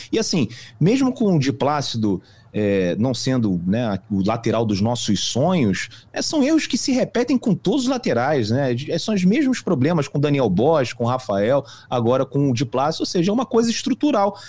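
A man's somewhat breathy voice at a fairly high pitch, with very wide pitch swings, very even loudness and a moderate pace. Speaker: football fan commentator. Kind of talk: casual sports discussion.

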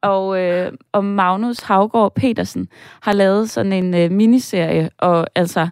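A woman speaks at a very slow pace with ordinary pitch variation. The recording is very clean with a silent background. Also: dry, close sound with no echo. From northern Jutland, Denmark. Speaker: screenwriter. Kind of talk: casual chat.

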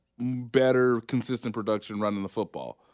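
A man with a normal speaking voice, medium-pitched, at a moderate pace, on a very clean recording with a silent background. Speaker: sports journalist. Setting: live radio studio. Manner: conversational, thoughtful, hedging with ums and laughs.

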